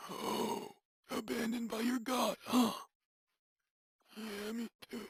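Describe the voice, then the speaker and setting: Raspy and fairly high in pitch, this is a put-on character voice. It goes at a fairly slow pace. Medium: audio drama. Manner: weary, wry.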